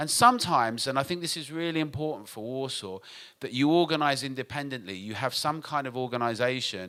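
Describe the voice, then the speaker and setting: In a British accent, a man speaks at medium pitch with a bright, sharp tone and ordinary pitch variation. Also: fairly quick pace. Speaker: nightlife industry advocate. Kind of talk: conference talk. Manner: fast.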